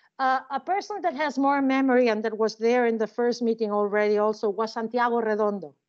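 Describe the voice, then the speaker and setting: A woman speaks at a fairly quick pace with a Spanish accent. Her voice is fairly high, with ordinary pitch variation. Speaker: criminology professor. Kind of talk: interview. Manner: halting.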